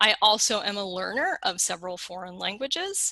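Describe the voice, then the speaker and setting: Bright and sharp in tone, this voice has a Western American accent, lively intonation and a moderate pace, recorded dry and close with no echo. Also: woman. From Colorado, US West. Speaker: lexicographer, keynote speaker. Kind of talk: keynote lecture. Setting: conference keynote.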